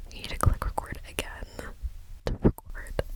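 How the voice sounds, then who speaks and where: Whispering in a gentle tone over noticeable background noise. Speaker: ASMR creator. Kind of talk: casual talk to camera. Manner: slow, gentle.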